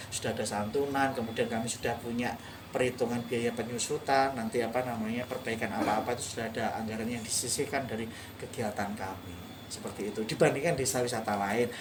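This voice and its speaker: Amid audible room echo and noticeable background noise, a man with a medium-pitched voice speaks at a very fast pace, his intonation fairly even. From East Java, Indonesia. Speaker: tourism village manager. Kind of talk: interview. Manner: fluent, practiced.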